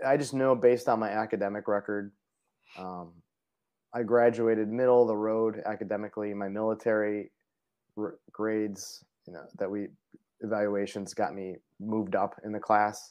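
With an American accent and a fairly low pitch, a man speaks at a moderate pace with fairly even intonation, big swings in loudness and long, frequent pauses. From Parma, Cleveland, Ohio. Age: 40s. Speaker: Air Force veteran and foundation vice president. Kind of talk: interview conversation.

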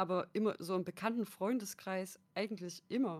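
In an unremarkable speaking voice, a woman talks with fairly even intonation. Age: 20s. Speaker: content creator and sociology student. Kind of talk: casual chat.

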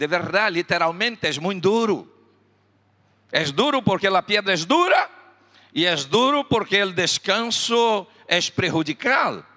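An animated, raised and projected voice with lively intonation, a bright, sharp tone and a Spanish accent. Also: man. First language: Spanish (speaking Portuguese). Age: 60s. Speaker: pastor. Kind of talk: sermon.

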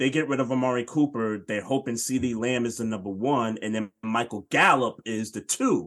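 A man with an unremarkable speaking voice talks at a moderate pace, at medium pitch, with fairly even intonation and hardly any pauses. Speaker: podcast host, sports talk. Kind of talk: casual sports podcast chat. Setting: online livestream.

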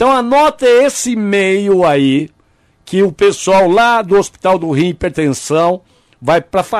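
A high-pitched male voice at a fairly slow pace, with lively intonation. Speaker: radio host. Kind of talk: casual radio chat.

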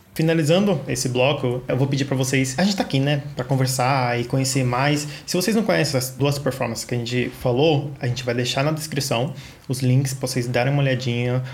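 A man's medium-pitched, fairly quick speech, with hardly any pauses, very even loudness, fairly even intonation and noticeable background noise. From Brazil, São Paulo (south zone). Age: 20s. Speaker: podcast co-host. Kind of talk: casual chat. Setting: remote recording.

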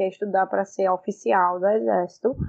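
A woman speaks in a plain, everyday voice. Her pace is moderate and her intonation fairly even. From Pernambuco, Brazil. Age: 20s. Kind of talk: casual chat.

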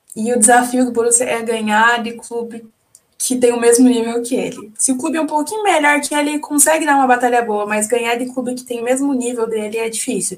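Her voice is high for a woman, with fairly even intonation. She talks at a fairly quick pace. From Curitiba, southern Brazil. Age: 20s. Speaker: sports agency press officer and football fan. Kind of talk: casual chat.

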